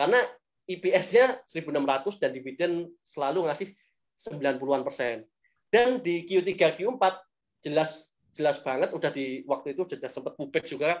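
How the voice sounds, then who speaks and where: This man has a high pitch and lively intonation. His pace is fairly quick. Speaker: stock investing speaker. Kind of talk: webinar Q&A.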